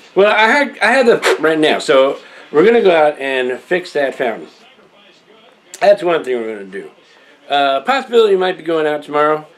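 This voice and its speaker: A man's fairly high voice with very wide pitch swings and long, frequent pauses over noticeable background noise. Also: moderate pace. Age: old. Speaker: video blogger. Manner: halting.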